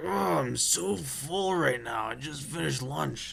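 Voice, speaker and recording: A man speaks slowly in a put-on character voice, his pitch swinging very widely. Light background noise sits underneath. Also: medium pitch for a man. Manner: comically funny voice.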